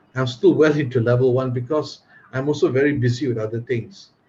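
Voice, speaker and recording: The voice is somewhat breathy with a dark, mellow tone. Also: man. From Malaysia. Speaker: Toastmaster and English tutor. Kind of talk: casual chat. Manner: expressive.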